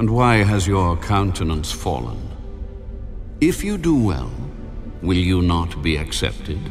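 Over clear background music, a man uses a put-on character voice, low-pitched and slow, with big swings in pitch.

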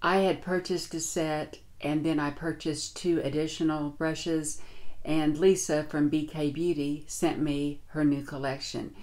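A woman's very deep, low voice with a dark, mellow tone and fairly even intonation. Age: 60s. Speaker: beauty vlogger. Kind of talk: tutorial. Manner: casual. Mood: warm, relaxed. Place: home room.

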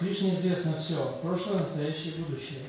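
Strong room echo surrounds a man talking at a fairly quick pace over light background noise. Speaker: lecture interpreter. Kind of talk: reading scripture commentary aloud. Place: hall.

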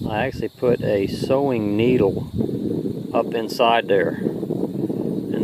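A man's voice against loud background noise, the sound dry with no echo. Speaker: angler vlogger. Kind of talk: casual vlog chat. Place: open country. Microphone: phone near.

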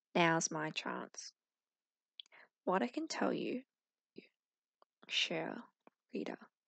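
Very slow, soft-spoken whispering, dry with no echo, against a quiet background. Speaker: reader. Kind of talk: reading a book aloud. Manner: soft whispered audiobook reading.

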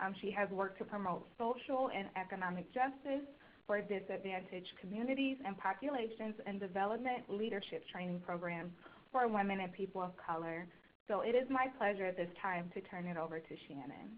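A woman speaks in a plain, everyday voice at medium pitch. Her pace is fairly quick, and her pitch varies in an ordinary way. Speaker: learning services intern. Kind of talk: webinar introduction. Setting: phone conference.

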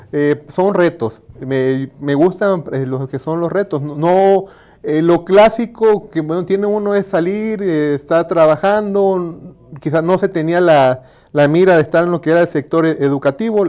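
A man with a Tabasco accent speaks at a fairly slow pace in a dark, mellow tone, his pitch high for a man with ordinary variation. Behind him the background is quiet. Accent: Mexican Spanish, Tabasco. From Mexico, Villahermosa, Tabasco; Tabasco, Mexico. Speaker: university lecturer; teacher being interviewed. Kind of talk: interview. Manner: halting. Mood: relaxed, reflective. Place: studio. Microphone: lapel.

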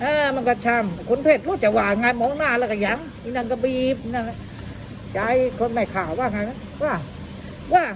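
A woman's high, animated voice in a Phetchaburi accent, with lively intonation and light background noise. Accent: Phetchaburi Thai dialect. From Phetchaburi, Thailand (Ban Lat); Thailand. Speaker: local dialect speaker; speaker. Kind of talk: casual interview. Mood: cheerful, amused. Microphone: phone near.

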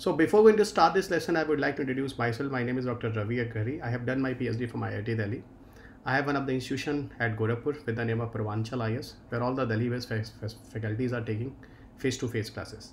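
A man talks at a very fast pace with ordinary pitch variation. Light background noise runs underneath. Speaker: exam-prep teacher. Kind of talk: lecture. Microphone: webcam.

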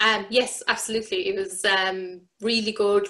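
A woman with an Irish accent talks in a fairly high pitch with a bright, sharp tone. The background is quiet. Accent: Irish (Clare). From Ireland, West Clare; Ireland. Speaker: amateur sports coach and parent; amateur sports coach. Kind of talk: interview. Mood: positive, friendly. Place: home room. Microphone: webcam.

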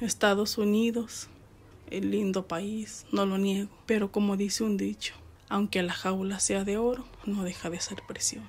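Speaking at a fairly slow pace, a woman with a medium-pitched voice talks in a flat monotone. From Mexico, Jalisco. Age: 30s. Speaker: deported migrant, former farm worker. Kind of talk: testimony.

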